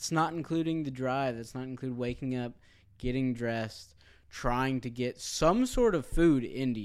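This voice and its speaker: A plain, everyday voice speaks at a moderate pace with ordinary pitch variation on a very clean recording with a silent background. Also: man, medium pitch for a man. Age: 20s. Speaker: church member and stepfather. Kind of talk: casual chat. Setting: recording in a church.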